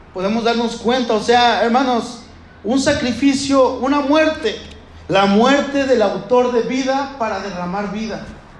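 A man speaks at an extremely high pitch and a fairly slow pace, with ordinary pitch variation. Noticeable background noise and audible room echo are present. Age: 30s. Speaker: pastor. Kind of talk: sermon.

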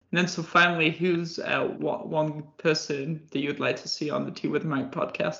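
In an English accent, a man with a fairly high pitch talks at a moderate pace with monotone, flat intonation and hardly any pauses. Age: 20s. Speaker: podcast host. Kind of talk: interview.

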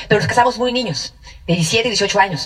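Despite noticeable background noise, a woman speaks very fast at a fairly high pitch with lively intonation. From central Mexico (Mexico City, State of Mexico). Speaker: network marketing speaker. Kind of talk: testimony.

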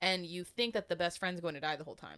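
A woman talks at a very fast pace, animated and with a bright, sharp tone. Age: 20s. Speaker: book podcast co-host. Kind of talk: casual chat. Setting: home recording.

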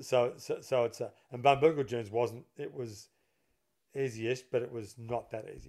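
A man with an Australian accent at a moderate pace, fairly even in intonation but with big swings in loudness. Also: medium pitch for a man. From Melbourne, Australia. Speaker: golf course architect and former pro golfer. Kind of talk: casual chat.

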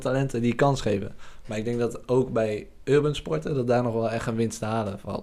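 This man talks at a very fast pace with ordinary pitch variation. His voice sits at medium pitch with a dark, mellow tone. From Drenthe, Netherlands. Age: 20s. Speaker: podcast host. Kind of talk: video podcast intro and outro; casual interview.

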